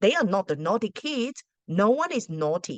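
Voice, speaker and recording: Speaking at a fairly slow pace, a woman talks with a non-native accent. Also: dry, close sound with no echo. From Australia, arrived at 13 from a non-English-speaking country. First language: not English. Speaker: school principal and teacher. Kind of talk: casual advice talk to camera. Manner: hesitant, with many fillers.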